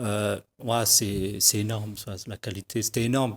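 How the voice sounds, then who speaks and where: Moderate pace, medium male pitch, fairly even intonation and a slight Parisian accent from a man, on a very clean recording with a silent background. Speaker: hip-hop and slam artist. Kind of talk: TV interview. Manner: halting, many hesitations.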